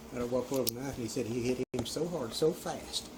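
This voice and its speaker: Against noticeable background noise, a man talks at a very fast pace with a medium pitch. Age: 70s. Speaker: elderly assault victim. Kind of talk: casual chat.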